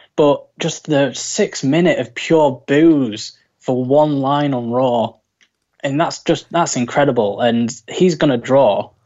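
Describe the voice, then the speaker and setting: This man's fairly high voice shows ordinary pitch variation as he talks at a very slow pace. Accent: British. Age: 20s. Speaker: wrestling fan. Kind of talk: casual chat.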